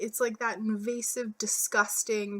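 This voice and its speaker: A normal speaking voice. The pace is fairly slow. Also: woman. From Canada. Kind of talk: casual storytime talk to camera. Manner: casual, profane.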